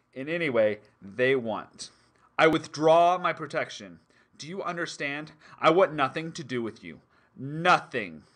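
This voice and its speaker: In a growling put-on character voice, a man uses a fairly high pitch and lively intonation at a moderate pace, broken by long, frequent pauses. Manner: snarling, harsh.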